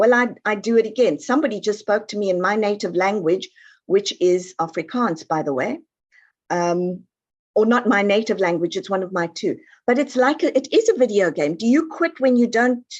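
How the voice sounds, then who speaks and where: Over a quiet background, a woman speaks in a fairly high voice with very wide pitch swings. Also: moderate pace. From South Africa. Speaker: family patterns expert and author. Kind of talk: online interview.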